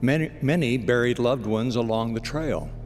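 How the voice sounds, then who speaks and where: At a moderate pace, the speaker has a calm, warm tone, with music in the background. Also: man. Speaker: radio broadcast announcer, inspirational spoken-word host. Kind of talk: inspirational devotional broadcast narration. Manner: calm, warm, measured.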